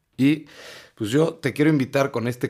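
On a very clean recording with a silent background, a man with a Mexican accent speaks at a moderate pace with ordinary pitch variation. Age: 20s. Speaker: podcast host. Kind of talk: personal monologue. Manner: animated.

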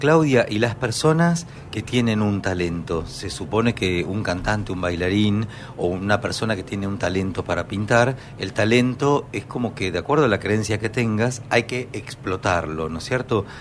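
With a Rioplatense accent, a man at a fairly low pitch speaks at a moderate pace with lively intonation over noticeable background noise. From Argentina. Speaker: radio host and pianist. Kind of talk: radio interview.

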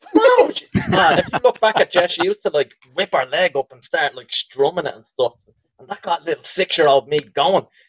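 The speaker has a strong Dublin accent and a moderate pace. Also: man. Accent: thick Dublin. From Dublin, Ireland. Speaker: podcast co-host. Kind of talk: informal, profane slang. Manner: casual, jokey banter.

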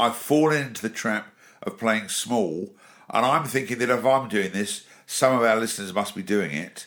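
A man's bright, sharp tone at a moderate pace, with an English accent. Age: 50s. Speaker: podcast host, business speaker and author. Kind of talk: casual chat.

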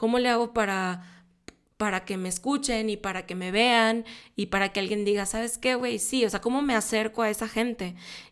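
A woman speaks at a moderate pace in a fairly high voice. Her intonation is fairly even, on a very clean recording with a silent background. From Mexico, Monterrey. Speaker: film producer and podcast host. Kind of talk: casual solo podcast talk. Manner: hesitant, with frequent filler 'eh'.

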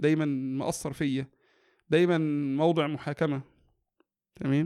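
A fairly high-pitched man's voice on a very clean recording with a silent background. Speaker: educational psychologist and family counselor. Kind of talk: interview about parenting.

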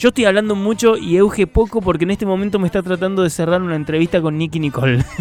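A man with a high pitch, very fast in pace, hardly any pauses, and ordinary pitch variation. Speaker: radio host. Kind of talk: casual chat. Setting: radio studio.

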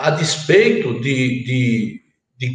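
A man speaks with very wide swings in pitch. The room echo is clearly audible. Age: 60s. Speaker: politician, former governor. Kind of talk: political panel debate. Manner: halting, repeats words.

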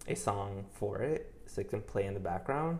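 In a room with audible echo, a man speaks at a fairly low pitch with vocal fry. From New York. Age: 20s. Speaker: interior designer. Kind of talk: casual chat.

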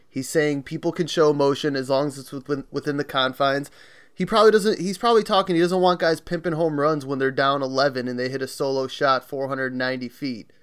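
A man's fairly high voice, a normal speaking voice, at a fairly quick clip with ordinary pitch movement and hardly any pauses, on a very clean recording over a silent background. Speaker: podcast co-host. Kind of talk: casual chat.

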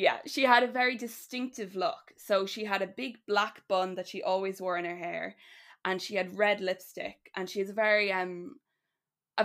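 Over a silent background in a very clean recording, a woman speaks with an Irish accent. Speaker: writer guest. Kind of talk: casual chat, storytelling.

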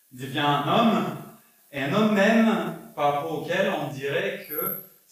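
Amid audible room echo, a man speaks at a very slow pace with ordinary pitch variation. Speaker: pastor. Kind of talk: sermon. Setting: church. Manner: halting.

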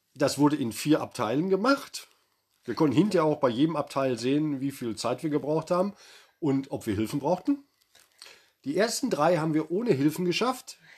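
A man with a fairly high pitch talks at a moderate pace. He leaves long, frequent pauses. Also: lively intonation. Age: 50s. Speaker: podcast co-host, father. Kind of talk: casual chat.

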